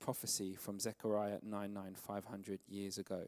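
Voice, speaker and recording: A man talks very slowly, and everything behind him is quiet. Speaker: preacher. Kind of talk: sermon. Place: church. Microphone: handheld.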